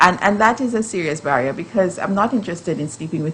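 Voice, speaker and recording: A woman speaks over noticeable background noise. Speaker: justice system professional. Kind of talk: panel discussion. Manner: hesitant, many fillers and repeats.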